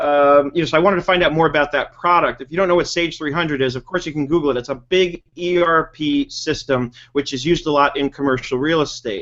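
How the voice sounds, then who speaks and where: A man's fairly high-pitched voice with an American accent, a very fast pace, fairly even intonation and hardly any pauses. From New York. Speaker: webinar host, bookkeeping trainer. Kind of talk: casual chat.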